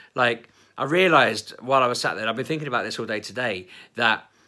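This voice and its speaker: Lively intonation in an Essex accent at a fairly quick pace, on a very clean recording with a silent background. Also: man. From Essex, England. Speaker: vlogger. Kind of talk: casual vlog chat. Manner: animated.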